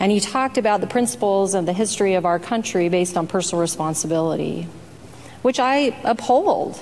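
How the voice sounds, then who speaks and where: A woman's medium-pitched voice at a fairly quick pace over noticeable background noise. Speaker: state senator. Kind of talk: legislative floor debate. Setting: senate chamber floor. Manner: soft-spoken.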